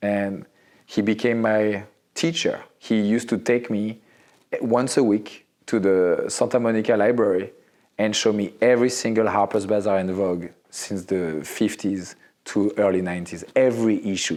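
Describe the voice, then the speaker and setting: On a very clean recording with a silent background, a man with a French accent talks at a fairly low pitch. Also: fairly even intonation, moderate pace. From Morocco and Central Africa, French-speaking. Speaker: fashion photographer. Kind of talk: interview. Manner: halting.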